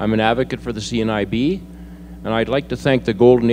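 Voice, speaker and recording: This is an ordinary speaking voice from a man at medium pitch. He talks at a fairly quick pace. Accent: Canadian. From British Columbia, Canada (Kamloops). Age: 60s. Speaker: mayoral candidate. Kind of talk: candidate forum speech.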